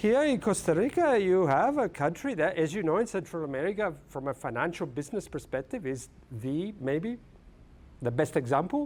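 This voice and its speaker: A high-pitched man with an Italian accent, very wide pitch swings, and a moderate pace. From Italy. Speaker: film studies professor. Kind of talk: lecture. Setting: lecture hall with audience. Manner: halting.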